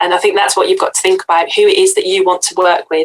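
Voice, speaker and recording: This woman talks with a Brummie accent. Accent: Brummie (Birmingham). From Yorkshire, northern England. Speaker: copywriter and author. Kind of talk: podcast interview.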